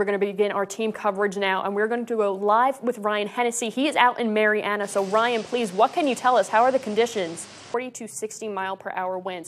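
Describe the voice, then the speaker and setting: Her intonation stays fairly even as the woman moves at a fairly quick pace. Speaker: TV news anchor and reporter. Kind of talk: TV news anchoring and live reporting. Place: studio. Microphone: lapel.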